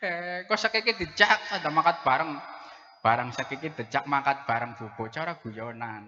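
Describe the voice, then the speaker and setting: A man's fairly high, bright, sharp voice in a strong Central Javanese accent, with very wide pitch swings, big swings in loudness and a moderate pace. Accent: strong Brebes Javanese (medhok). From Brebes, Central Java. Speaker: preacher. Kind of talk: humorous sermon. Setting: mosque gathering with audience. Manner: animated.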